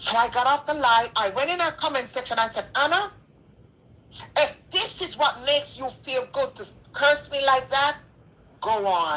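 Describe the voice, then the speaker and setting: A woman's high, raised, projected voice, bright and sharp in tone, with lively intonation, a moderate pace and long, frequent pauses. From Jamaica. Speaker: donor. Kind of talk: testimony.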